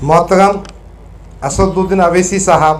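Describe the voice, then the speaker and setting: Audible room echo hangs on the voice of a man as he talks. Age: 60s. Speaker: politician. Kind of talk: reading aloud. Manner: formal.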